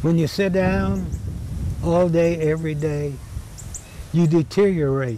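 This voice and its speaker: At a fairly slow pace, a man speaks in a fairly high pitch over noticeable background noise. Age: 90s. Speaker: volunteer golf course caretaker. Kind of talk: documentary interview.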